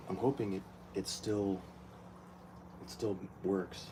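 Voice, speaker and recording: A man with a fairly low, somewhat breathy voice and a dark, mellow tone speaks at a fairly slow pace, with big swings in loudness and long, frequent pauses. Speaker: aquarium hobbyist vlogger. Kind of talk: casual tutorial vlog. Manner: soft-spoken.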